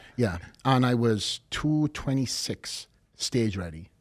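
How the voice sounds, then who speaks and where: A man with a Welsh accent, medium-pitched, on a very clean recording with a silent background. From Wales. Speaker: professional bodybuilder. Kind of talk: podcast interview answer.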